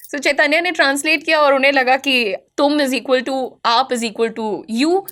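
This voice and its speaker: A woman talks at a moderate pace in a high, bright, sharp voice with an animated tone and ordinary pitch variation. The recording is very clean with a silent background. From small-town India. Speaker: spoken English teacher and interviewer. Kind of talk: interview. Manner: animated, code-switching Hindi-English.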